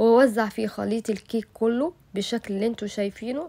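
At a moderate pace, a woman speaks with a fairly high pitch, a dark, mellow tone and fairly even intonation. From Egypt. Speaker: cooking YouTuber. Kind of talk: cooking tutorial. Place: kitchen.

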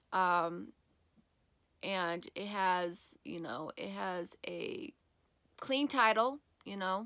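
A woman is speaking over a quiet background. The sound is dry, with no echo. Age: 20s. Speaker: vlogger. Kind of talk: casual vlog. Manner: casual and chatty. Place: home room. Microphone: phone near.

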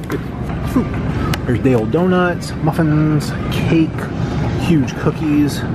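A man's voice, dry with no echo, with music in the background. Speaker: vlogger shopping. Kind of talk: casual vlog chat. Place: shop.

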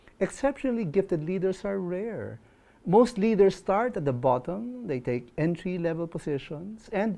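This man talks at a fairly slow pace. His intonation is lively. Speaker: presenter. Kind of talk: inspirational talk to camera. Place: studio. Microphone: lapel.

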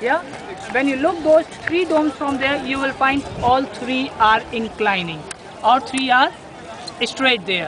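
A man with an Indian accent talks at a high pitch and a fairly slow pace, pausing long and often. The sound is dry with no echo, though background noise is noticeable. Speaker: tour guide. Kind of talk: guided tour narration explaining history at a monument. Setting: outdoors at the Taj Mahal site. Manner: explanatory, storytelling, somewhat halting with repetitions. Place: garden. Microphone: phone near.

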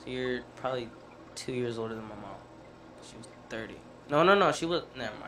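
Over light background noise, a man speaks at a fairly quick pace with lively intonation and long, frequent pauses. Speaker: podcast co-host. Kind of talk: casual chat. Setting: studio. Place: studio. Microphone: studio mic.

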